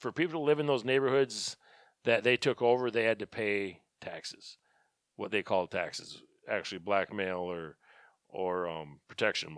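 A man's fairly low voice at a moderate pace, with big swings in loudness, in a dry, close sound with no echo and a very clean recording with a silent background. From US Midwest, Wisconsin. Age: 40s. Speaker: shooting business owner and firearms instructor. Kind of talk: casual solo podcast monologue. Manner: casual, with many fillers.

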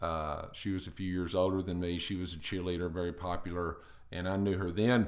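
A man with a Texan accent talks fast-ish in a very deep, low, monotone voice with flat intonation, and the room echo is audible. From Northeast Texas (Paris, Dallas area). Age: 50s. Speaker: retired firefighter and restaurant owner. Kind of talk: casual interview.

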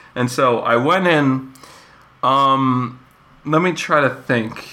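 A man over noticeable background noise. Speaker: podcast host. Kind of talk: casual chat.

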